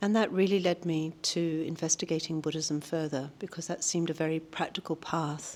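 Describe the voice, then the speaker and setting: In a New Zealand accent, a woman speaks at a moderate pace in a very deep, low pitch. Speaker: Buddhist practitioner, long-time monastery volunteer. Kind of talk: interview. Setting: monastery. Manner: hesitant, with frequent fillers.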